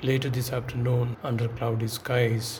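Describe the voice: A man speaks at a medium pitch in a flat monotone, with noticeable background noise behind him.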